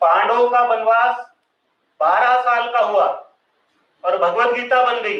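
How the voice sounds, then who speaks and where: With a Marathi accent and an extremely high pitch, a man speaks with ordinary pitch variation and long, frequent pauses amid audible room echo. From Maharashtra. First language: Marathi (speaking Hindi). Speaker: social thinker and speaker. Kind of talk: public lecture. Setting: stage with audience.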